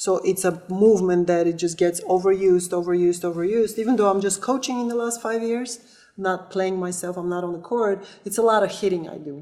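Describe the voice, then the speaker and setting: A dark, mellow tone with a non-native accent, fairly quick with hardly any pauses and fairly even intonation. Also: woman, medium pitch for a woman. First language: not English. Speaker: volleyball player and coach. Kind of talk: testimonial interview.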